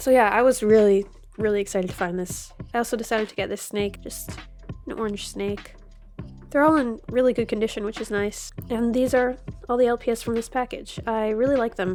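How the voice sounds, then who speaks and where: Over music in the background, a woman with a fairly high pitch speaks at a fairly quick pace with fairly even intonation. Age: adult. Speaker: toy collector and video creator. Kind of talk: unboxing vlog. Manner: casual.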